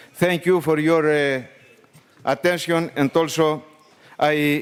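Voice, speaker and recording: A man with a Greek accent speaks at a fairly high pitch and a very slow pace, his intonation fairly even. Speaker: trade union leader. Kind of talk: formal speech. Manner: halting.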